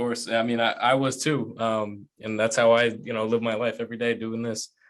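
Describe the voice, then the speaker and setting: A man talks at a fairly quick pace in a flat, monotone delivery. Music plays in the background. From Rhode Island. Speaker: podcast host. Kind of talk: interview.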